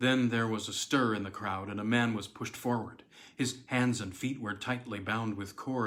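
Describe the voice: In plain reading aloud, the speaker holds a fairly even intonation.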